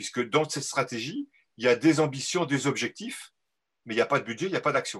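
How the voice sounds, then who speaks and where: A man talks at a fairly quick pace with a fairly high pitch and ordinary pitch variation. He has a plain, everyday voice. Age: 60s. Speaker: agricultural economist. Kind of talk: live interview. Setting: video call.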